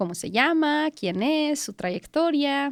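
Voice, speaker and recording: The voice is animated, with very wide pitch swings and a fairly slow pace in a Mexican accent. The sound is dry and close with no echo, on a very clean recording with a silent background. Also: woman. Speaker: podcast host. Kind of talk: podcast interview.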